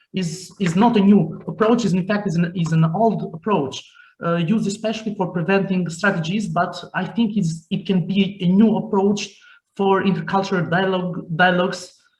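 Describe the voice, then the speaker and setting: Speaking at a moderate pace with an Albanian accent, a man keeps a high pitch and a monotone, flat intonation. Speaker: youth organization director. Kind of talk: panel talk. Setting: video call. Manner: halting.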